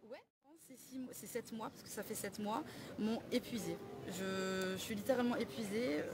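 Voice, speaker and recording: A woman speaks at a moderate pace in a fairly high voice, with ordinary pitch variation and big swings in loudness. Long, frequent pauses break up her speech over noticeable background noise. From southern France, Perpignan. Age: 20s. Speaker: suspended home care worker. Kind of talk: street interview. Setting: outdoors. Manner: halting.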